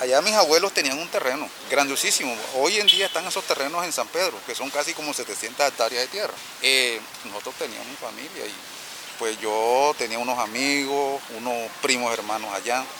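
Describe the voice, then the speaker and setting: A man talks at a moderate pace with lively intonation and a fairly high pitch. Noticeable background noise runs under the recording. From Córdoba, Colombia (Tuchín). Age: 40s. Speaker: street coffee vendor. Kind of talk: testimony.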